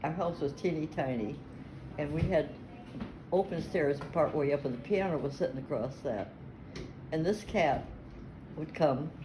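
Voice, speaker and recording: With an American accent and a very deep, low voice, a woman speaks at a moderate pace with ordinary pitch variation and long, frequent pauses, over noticeable background noise. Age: 80s+. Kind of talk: family storytelling interview.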